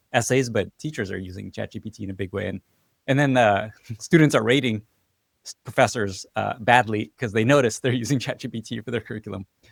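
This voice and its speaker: The sound is dry and close with no echo as a man with a medium-pitched voice talks at a very fast pace, with big swings in loudness. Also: ordinary pitch variation. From US (moved from Russian-speaking country at six). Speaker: podcast host. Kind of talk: interview conversation.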